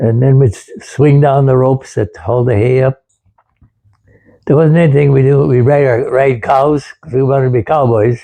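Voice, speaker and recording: A man's relaxed, dark, mellow voice, somewhat breathy and medium-pitched, at a moderate pace. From Wisconsin, USA. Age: 80s+. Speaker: World War II veteran, former farm boy. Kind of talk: interview answer, reminiscing about childhood. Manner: relaxed, conversational, reminiscing.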